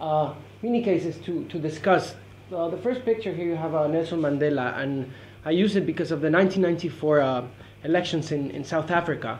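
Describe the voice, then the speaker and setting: A man talks at a fairly quick pace with ordinary pitch variation. Light background noise is audible. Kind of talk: academic presentation. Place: meeting room. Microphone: camera far.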